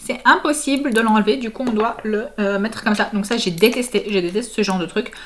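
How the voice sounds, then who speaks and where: Speaking at a fairly quick pace with hardly any pauses, a woman with a fairly high pitch uses ordinary pitch variation over noticeable background noise. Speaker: family vlogger. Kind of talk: casual vlog product review. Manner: hesitant, many fillers.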